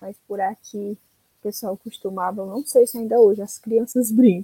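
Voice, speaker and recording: Her medium-pitched voice has a dark, mellow tone and is somewhat breathy. The woman keeps a moderate pace and fairly even intonation in a dry, close sound with no echo. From Ceará, Brazil. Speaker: podcast guest. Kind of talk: casual chat.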